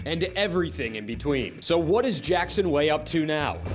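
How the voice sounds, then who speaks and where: A man's voice with lively intonation at a moderate pace, music playing in the background. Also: fairly high pitch for a man. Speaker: sports anchor and reporter. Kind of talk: TV sportscast read, energetic.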